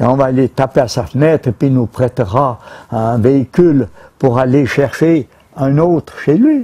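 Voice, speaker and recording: The voice has a dark, mellow tone, somewhat breathy, in a Vaud accent. Loudness stays very even, and the pitch varies in an ordinary way. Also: man, moderate pace. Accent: Swiss French (Vaud). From Switzerland. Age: 90s. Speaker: retired beekeeper. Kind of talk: casual interview. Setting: outdoors at his beehives, on camera. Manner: halting, repeats words. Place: garden.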